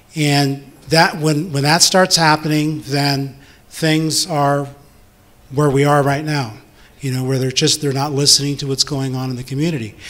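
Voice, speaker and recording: In an American accent, a man speaks at a moderate pace with fairly even intonation in an ordinary speaking voice. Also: fairly high pitch for a man. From Northern California. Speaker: city council candidate. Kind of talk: candidate debate statement. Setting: community hall with audience.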